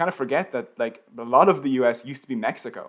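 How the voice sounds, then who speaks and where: This man has a Dublin accent and a medium pitch. His intonation is lively. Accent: Irish, Dublin. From Ireland, Dublin. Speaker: YouTube educational creator. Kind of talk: live stream Q&A. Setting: live stream. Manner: casual, filler-heavy.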